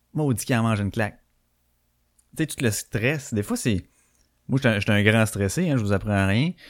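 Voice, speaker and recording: On a very clean recording with a silent background, a man with a Quebec accent speaks at a medium pitch and a moderate pace, with ordinary pitch variation and long, frequent pauses. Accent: Québécois French. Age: 30s. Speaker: podcast host. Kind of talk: live podcast chat. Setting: live stream.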